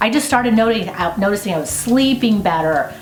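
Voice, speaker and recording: A woman talks with normal rises and falls in pitch, her voice echoing in the room over noticeable background noise. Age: 50s. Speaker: homesteader and video host. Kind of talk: interview answers. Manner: casual, conversational.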